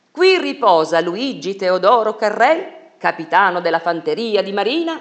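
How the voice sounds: What we hear is a natural reading voice.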